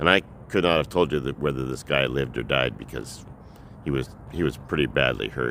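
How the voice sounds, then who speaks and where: Vocal fry runs through a man's fairly quick speech, which has ordinary pitch variation. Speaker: vlogger. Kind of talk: personal storytelling. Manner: halting.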